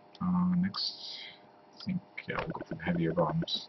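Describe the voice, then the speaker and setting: A man is speaking. He is soft-spoken. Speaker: gaming tutorial youtuber. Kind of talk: tutorial. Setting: home at night. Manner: hesitant.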